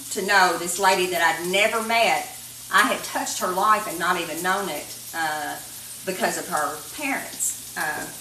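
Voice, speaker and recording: With a Kentucky accent, a woman speaks at a moderate pace with ordinary pitch variation, amid audible room echo and light background noise. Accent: southern US (Kentucky). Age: 60s. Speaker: cooking show host. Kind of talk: cooking tutorial with casual chat. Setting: home kitchen. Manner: casual, conversational with fillers. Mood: warm, reflective storytelling. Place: kitchen. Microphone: camera far.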